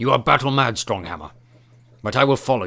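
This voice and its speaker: A man uses a raspy, put-on character voice at a medium pitch. He talks at a fairly quick pace with very wide pitch swings. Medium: read story. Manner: blunt, formal.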